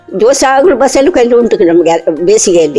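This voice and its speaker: With music playing behind her, a woman speaks with lively intonation. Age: 80s+. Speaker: farmer. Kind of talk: interview. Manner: halting.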